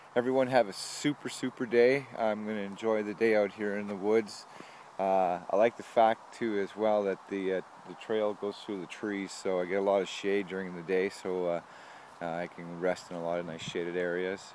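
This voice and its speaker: A man's normal speaking voice, fairly low in pitch, at a moderate pace with fairly even intonation, dry with no echo and light background noise. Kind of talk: casual vlog chat. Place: open country. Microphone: phone near.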